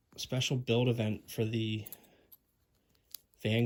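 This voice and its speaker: A man speaks at a very slow pace. His medium-pitched voice stays monotone, with flat intonation. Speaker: Lego hobbyist video creator. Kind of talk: casual product review vlog. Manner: casual, halting with fillers.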